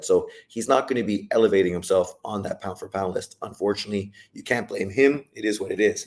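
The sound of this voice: In a put-on character voice, a man sounds raspy and hoarse at a medium pitch. He goes at a fairly quick pace with hardly any pauses, and his loudness swings widely.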